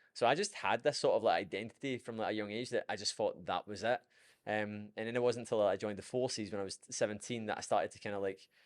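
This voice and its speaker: A man with a Scottish accent talks at a very fast pace in an animated tone, his medium-pitched voice making big swings in loudness against a quiet background. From Scotland. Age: 20s. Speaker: fitness coach. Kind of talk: podcast interview. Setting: studio.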